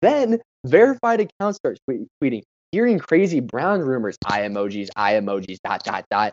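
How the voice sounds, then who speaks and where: At a moderate pace, a man with a fairly high voice speaks with very wide pitch swings. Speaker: sports podcast co-host. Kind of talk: casual chat. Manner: animated.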